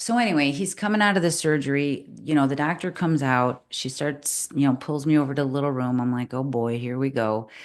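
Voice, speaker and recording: An animated tone at a fairly quick pace with hardly any pauses, ordinary pitch variation and a quiet background. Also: woman, very deep, low pitch for a woman. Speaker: podcast co-host, lifestyle medicine coach. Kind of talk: casual chat. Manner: loud.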